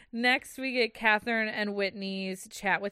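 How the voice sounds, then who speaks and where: Speaking at a fairly slow pace, a woman uses a normal speaking voice at a medium pitch. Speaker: podcast co-host. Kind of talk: casual chat. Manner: laughs often, chatty.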